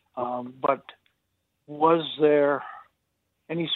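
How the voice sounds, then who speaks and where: A woman with an American accent speaks in a very deep, low pitch with ordinary pitch variation. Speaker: caller. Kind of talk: call-in question. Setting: phone call.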